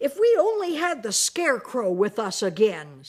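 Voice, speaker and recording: Someone growls through a put-on character voice with very wide pitch swings. The pace is moderate. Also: woman, high pitch for a woman. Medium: read story.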